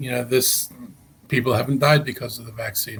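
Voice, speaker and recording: Somewhat breathy and at a medium pitch, a man speaks at a fairly quick pace with fairly even intonation. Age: 70s. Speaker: county executive, politician. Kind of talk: interview. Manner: halting, many fillers and repetitions.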